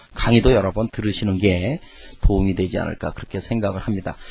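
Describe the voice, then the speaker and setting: A man talks at a very fast pace. His voice is fairly low in pitch and somewhat breathy. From Korea, Chungcheong region. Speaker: lecturer. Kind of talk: lecture.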